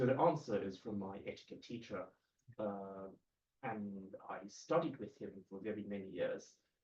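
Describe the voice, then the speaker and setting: A man with a British accent, fairly low in pitch with ordinary variation, at a moderate pace, with big swings in loudness and long, frequent pauses. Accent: received pronunciation British. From Hong Kong. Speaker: kung fu teacher. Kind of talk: interview. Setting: his place in Hong Kong. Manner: clear, authoritative.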